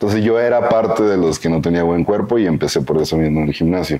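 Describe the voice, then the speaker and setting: A man talks fairly quickly, his pitch varying in an ordinary way, while noticeable noise fills the background. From northern Mexico, Coahuila. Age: 20s. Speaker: bodybuilding coach. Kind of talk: interview.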